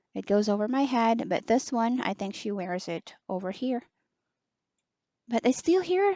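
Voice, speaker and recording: Soft-spoken and at a moderate pace, a woman talks with very wide pitch swings. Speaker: online teacher reviewing a headset. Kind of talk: product review.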